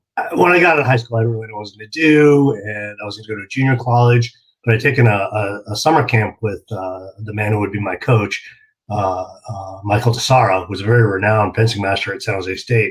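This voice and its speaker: A man with a fairly low pitch speaks at a very fast pace with an American accent. His voice is somewhat breathy, with ordinary pitch variation and big swings in loudness. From California. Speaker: martial arts magazine publisher. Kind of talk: interview.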